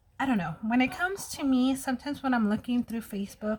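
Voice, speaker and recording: An American accent on a woman's somewhat breathy voice. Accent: Mexican American accent at times. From US, Mexican American family. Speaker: beauty vlogger. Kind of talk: casual get-ready-with-me vlog.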